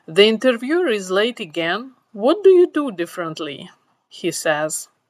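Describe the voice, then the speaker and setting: On a very clean recording with a silent background, a woman with a non-native accent speaks at a moderate pace with lively intonation. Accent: foreign accent, immigrant. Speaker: tech professional giving career advice. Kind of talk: storytelling monologue.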